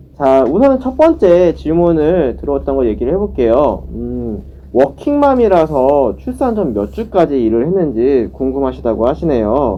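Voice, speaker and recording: The delivery is fairly slow, with hardly any pauses. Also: man. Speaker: presenter at community mental health center. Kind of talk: online education session, Q&A.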